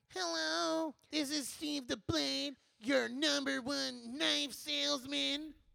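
Using a put-on character voice, a woman speaks at a very slow pace with fairly low pitch. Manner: goofy, salesy.

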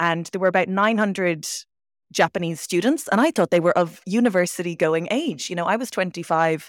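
A Dublin accent at a moderate pace with ordinary pitch variation, on a very clean recording with a silent background. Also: woman, fairly low pitch for a woman. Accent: Dublin Irish English. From Ireland, Dublin. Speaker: language teacher. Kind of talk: interview.

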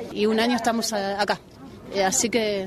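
Intonation stays monotone and flat. Noticeable background noise is present. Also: woman. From Argentina, Buenos Aires. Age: 50s. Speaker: football coach. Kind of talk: interview. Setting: outdoors.

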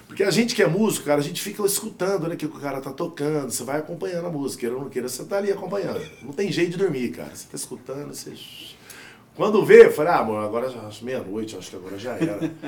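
A man talks at a very fast pace in a fairly high pitch, with very wide pitch swings and big swings in loudness. Noticeable background noise and audible room echo surround him. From southern Minas Gerais, Brazil, near São Paulo border. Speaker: sertanejo singer. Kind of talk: casual chat.

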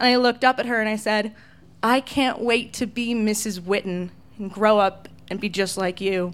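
On a very clean recording with a silent background, a woman with an American accent uses a plain, everyday voice, fairly high in pitch, at a moderate pace with fairly even intonation. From California. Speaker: radio DJ. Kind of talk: live storytelling. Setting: stage with audience.

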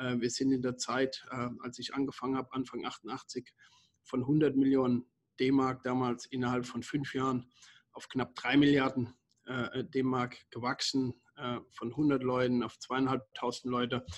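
Speaking fairly slowly, a man keeps a medium pitch and a flat, monotone intonation. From Germany. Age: 50s. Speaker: company founder and CEO. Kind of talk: interview. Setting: remote call. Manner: halting, many fillers and repetitions.

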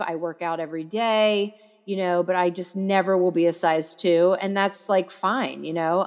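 A woman with a plain, everyday voice speaks at a fairly slow pace, her medium pitch carrying fairly even intonation. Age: 40s. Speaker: celebrity makeup artist. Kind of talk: casual chat.

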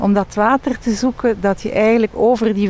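Noticeable background noise behind a woman at a fairly high pitch, moderate pace and ordinary pitch variation. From Belgium, Leuven. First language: French (speaking Dutch). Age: 50s. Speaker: banking executive. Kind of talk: interview.

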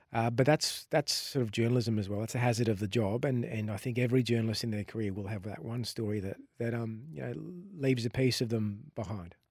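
With an Australian accent, a man speaks very fast with ordinary pitch variation on a very clean recording with a silent background. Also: medium pitch for a man. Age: 40s. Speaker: investigative journalist. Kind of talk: interview.

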